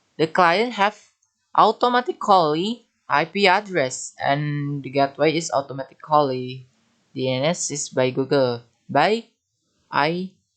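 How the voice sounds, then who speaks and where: Speaking with an Indonesian accent, a man uses a fairly high pitch. He goes at a fairly slow pace with lively intonation. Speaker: networking tutor. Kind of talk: tutorial. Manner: halting.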